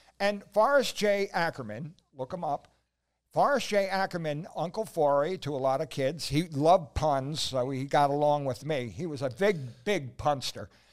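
Speaking in an ordinary speaking voice, a man uses a fairly high pitch, lively intonation and a moderate pace in a very clean recording with a silent background. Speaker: co-host. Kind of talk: casual chat. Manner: joking.

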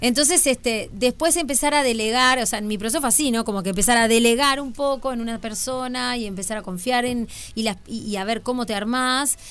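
A woman with a Uruguayan accent talks at a fairly quick pace with hardly any pauses, her fairly high pitch showing ordinary variation. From Uruguay, Canelones. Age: 40s. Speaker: comedian. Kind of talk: casual chat.

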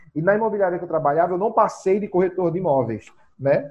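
Lively intonation runs through this man's speech. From Brazil, rural Pernambuco (Zona da Mata). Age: 30s. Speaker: real estate broker. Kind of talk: podcast interview.

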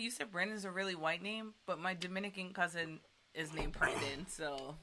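The speaker's pitch varies in an ordinary way. There is noticeable background noise. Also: woman. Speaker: live-stream co-host. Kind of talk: casual chat. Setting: home live stream.

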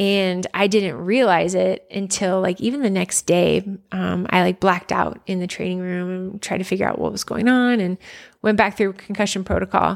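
A woman in an ordinary speaking voice, at a moderate pace with fairly even intonation, on a very clean recording with a silent background. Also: medium pitch for a woman. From suburban Philadelphia, Pennsylvania. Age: 30s. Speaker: former college athlete. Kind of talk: casual interview chat.

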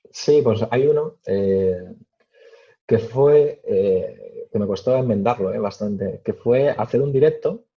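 A man speaks at a very slow pace in a medium pitch. His somewhat breathy voice has ordinary pitch variation. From Spain, Madrid region (Alcalá de Henares). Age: 20s. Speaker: tech media founder and YouTuber. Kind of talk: interview.

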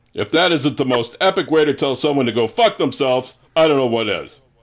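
On a very clean recording with a silent background, a man with a normal speaking voice talks fairly quickly in a fairly high pitch with lively intonation. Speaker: podcast co-host. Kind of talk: casual chat.

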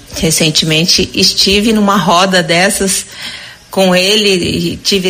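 Against noticeable background noise, a woman speaks very slowly at a medium pitch with monotone, flat intonation. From Mato Grosso do Sul. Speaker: businesswoman. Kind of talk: recorded message.

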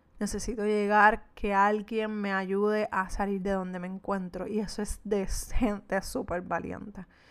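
In a Puerto Rican accent, a woman at a medium pitch speaks at a fairly slow pace with monotone, flat intonation, on a very clean recording with a silent background. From Puerto Rico. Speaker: podcast host, entrepreneur. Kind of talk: solo podcast monologue. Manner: meandering, conversational.

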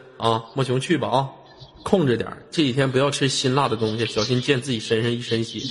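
Noticeable background noise runs behind a man speaking at a fairly quick pace and a medium pitch. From Changchun, northeast China. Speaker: live-stream chat host. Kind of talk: live-stream call-in chat. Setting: online voice live stream. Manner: animated.

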